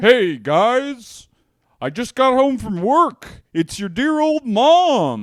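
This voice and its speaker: In a put-on character voice, the speaker goes at a very slow pace with a fairly high pitch. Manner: cheerful, greeting.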